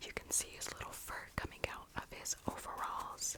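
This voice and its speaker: Noticeable background noise is present. The voice is whispering. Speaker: ASMR creator. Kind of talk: ASMR show-and-tell. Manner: slow.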